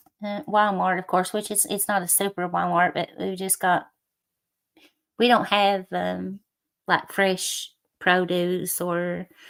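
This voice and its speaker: Speaking very slowly with long, frequent pauses, a woman with an American accent and a medium pitch keeps a monotone, flat intonation. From southeastern Kentucky. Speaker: livestreamer. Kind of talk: casual chat.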